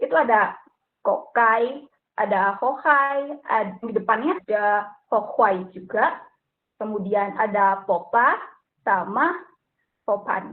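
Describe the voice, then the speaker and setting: Very slowly, a woman speaks with lively intonation. Her pitch sits fairly high. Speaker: student presenter. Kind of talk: student group presentation. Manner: hesitant, many fillers.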